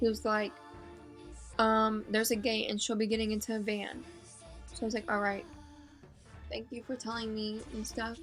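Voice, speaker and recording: Music plays in the background. A woman speaks in a fairly high voice at a moderate pace. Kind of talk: casual talk to camera. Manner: chatty, excited.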